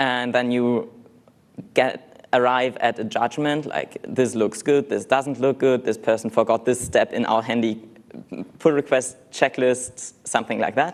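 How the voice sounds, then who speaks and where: Speaking at a fairly slow pace with a non-native accent, this man has a medium-pitched voice and a flat, monotone intonation. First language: not English. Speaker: conference speaker, software developer. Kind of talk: conference talk.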